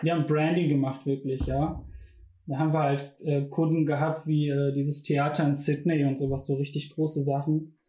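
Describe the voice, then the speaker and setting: Speaking at a moderate pace in a flat monotone, a man with a fairly high pitch keeps his loudness very even, his tone dark and mellow and his voice somewhat breathy. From Ruhr area, Bochum. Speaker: design student. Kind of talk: casual chat.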